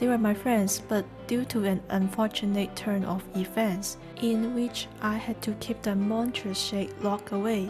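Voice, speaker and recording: A woman with a non-native accent speaks at a fairly slow pace and medium pitch, her loudness very even and her intonation flat and monotone, with hardly any pauses and music playing in the background. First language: not English. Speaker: gaming video creator. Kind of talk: first-person character backstory narration.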